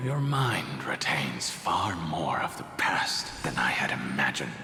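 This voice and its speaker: A man whispers in a cartoonish character voice at a fairly slow pace. There is clear echo and loud background noise. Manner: measured, thoughtful.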